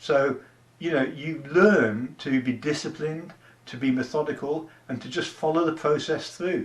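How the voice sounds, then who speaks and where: A man speaks in a plain, everyday voice, pitched fairly high, with ordinary pitch variation. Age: 60s. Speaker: online business promoter, army veteran. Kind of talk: casual talking-head pitch to camera. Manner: conversational, with many fillers.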